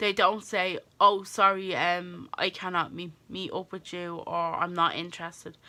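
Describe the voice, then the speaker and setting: A woman's fairly low, bright and sharp voice in an Irish accent, fairly slow, with monotone, flat intonation and big swings in loudness. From Ireland. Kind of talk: casual talk to camera.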